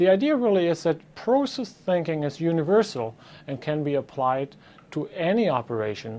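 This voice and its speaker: Delivered at a moderate pace with a German accent, the voice has a dark, mellow tone and very wide pitch swings. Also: man, fairly high pitch for a man. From Germany. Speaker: professor. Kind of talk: lecture. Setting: office. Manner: hesitant with fillers.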